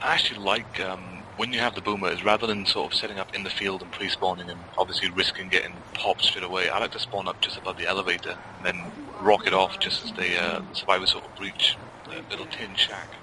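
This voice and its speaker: In a British accent, a man with a very deep, low pitch talks at a very fast pace in a monotone, flat intonation. His loudness swings widely over noticeable background noise. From England. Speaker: game commentator. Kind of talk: live commentary.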